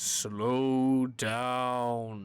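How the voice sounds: This put-on character voice is gravelly, sits at a low-to-middle pitch and keeps a monotone, flat intonation.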